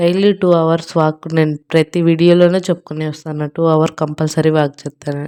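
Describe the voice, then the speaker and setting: In a very clean recording with a silent background, a woman's fairly low, dark and mellow voice keeps a fairly even intonation, the sound dry and close with no echo. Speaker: weight loss vlogger. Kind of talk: casual vlog with cooking walkthrough. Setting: home kitchen, self-filmed handheld.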